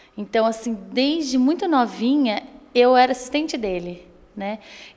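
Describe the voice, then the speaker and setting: A woman talks with ordinary pitch variation. The recording is very clean and the background silent. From Brazil, São Paulo state interior (Espírito Santo do Pinhal area). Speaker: actress and theater teacher. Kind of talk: interview.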